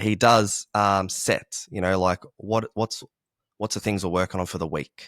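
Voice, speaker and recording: A man with an Australian accent talks at a moderate pace with a very deep, low pitch. The recording is very clean with a silent background, and the sound is dry and close with no echo. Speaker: martial arts coach. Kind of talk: casual chat. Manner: loud, energetic.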